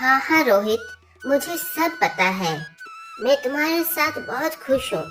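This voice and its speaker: Faint music plays behind a woman doing a cartoonish character voice, high-pitched and fairly slow, with very wide pitch swings. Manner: soft, hesitant.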